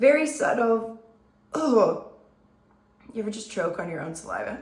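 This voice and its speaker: Against noticeable background noise and audible room echo, a woman with a fairly high voice shows very wide pitch swings and big swings in loudness. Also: moderate pace. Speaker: beauty content creator. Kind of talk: makeup tutorial. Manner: casual, chatty.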